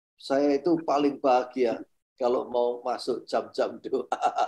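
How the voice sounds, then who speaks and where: Fairly high male voice, dark and mellow in tone, with fairly even intonation and a quiet background. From East Java, Indonesia (Sidoarjo). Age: 70s. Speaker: publisher and minister. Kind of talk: testimony. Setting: video call.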